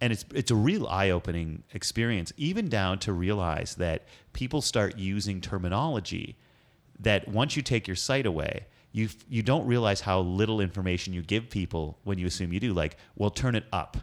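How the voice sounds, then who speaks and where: On a very clean recording with a silent background, a man uses a normal speaking voice, fairly low in pitch, at a moderate pace with ordinary pitch variation. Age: 30s. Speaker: podcast host. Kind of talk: interview conversation; podcast outro.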